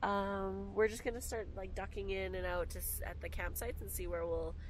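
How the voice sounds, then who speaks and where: At a moderate pace, a woman talks over light background noise in a dry sound with no echo. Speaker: travel vlogger passenger. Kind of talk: casual vlog chat. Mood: cheerful, excited. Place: car. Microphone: camera far.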